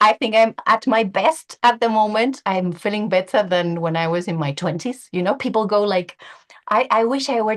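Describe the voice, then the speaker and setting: With a Spanish accent, a woman speaks in a fairly high pitch with lively intonation. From Spain, Valencia. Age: 40s. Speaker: language teacher, webinar speaker. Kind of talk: webinar presentation.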